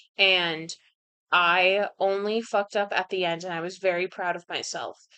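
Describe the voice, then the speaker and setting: Here is a woman with an American accent and a bright, sharp tone. Her medium-pitched voice shows ordinary pitch variation. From US Pacific Northwest. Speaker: author streaming writing session. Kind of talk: casual chat. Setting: livestream. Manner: many filler words and false starts.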